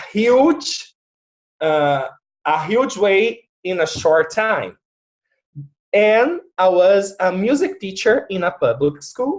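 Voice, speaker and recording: Very slow speech with a Portuguese accent. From Brazil. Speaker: facilitator and music teacher. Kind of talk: casual interview on video call. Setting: video call.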